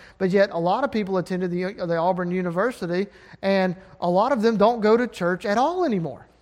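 Talking at a fairly quick pace, a man with an Alabama accent sounds animated. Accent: Southern US (Alabama). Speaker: preacher. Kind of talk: sermon. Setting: church.

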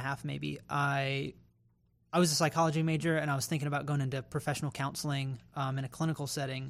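A man with an American accent and an ordinary speaking voice, fairly high-pitched, with fairly even intonation, on a very clean recording with a silent background. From North Carolina (Raleigh). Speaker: pastoral intern. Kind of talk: casual chat.

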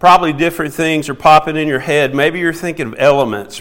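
A fairly high-pitched man with a Southern US accent. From US South. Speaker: preacher. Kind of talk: sermon.

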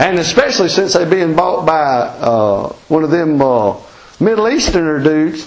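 Over noticeable background noise, a man with an Appalachian accent talks at a moderate pace in a high pitch with very wide pitch swings. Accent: Southern Appalachian US. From US Appalachian mountains. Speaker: preacher. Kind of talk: sermon. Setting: church. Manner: informal, folksy, plainspoken.

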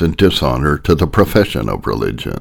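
A man talks at a very deep, low pitch with vocal fry. The recording is very clean, and the background is silent. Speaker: sermon narrator. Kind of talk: sermon audiobook reading, solemn reading of old Puritan text. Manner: measured, formal, steady reading pace.

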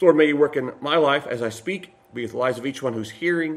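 With an American accent, a man speaks at a very fast pace with ordinary pitch variation. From Kentucky. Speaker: pastor. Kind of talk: sermon; prayer.

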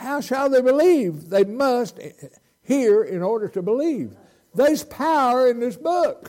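A man with a Southern US accent speaks at a fairly slow pace in an extremely high pitch. His tone is dark and mellow, with very wide pitch swings. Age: 80s+. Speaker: visiting preacher. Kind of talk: sermon. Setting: church. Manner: animated.

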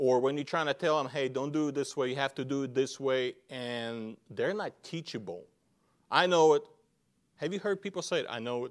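In a very clean recording with a silent background, a man with a non-native accent speaks at a moderate pace and a fairly high pitch, with ordinary pitch variation. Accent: foreign-accented English. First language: not English. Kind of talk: sermon. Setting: church with congregation. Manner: halting, with grammar slips.

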